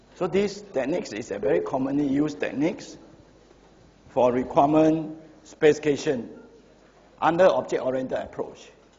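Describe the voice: Audible room echo surrounds a man with a dark, mellow tone. His fairly high pitch moves with lively intonation at a moderate pace.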